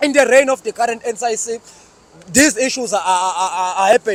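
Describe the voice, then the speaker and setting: A man speaks at an extremely high pitch, in a dry, close sound with no echo, over noticeable background noise. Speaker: student activist. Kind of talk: political speech to camera. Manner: fast; halting with many fillers.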